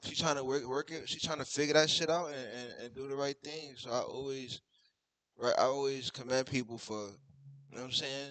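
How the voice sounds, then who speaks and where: In an American accent, the speaker talks at a fairly quick pace with a monotone, flat intonation and big swings in loudness. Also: man, fairly high pitch for a man. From New York City. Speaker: YouTube reaction streamer. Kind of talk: reaction commentary. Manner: casual, repetitive filler.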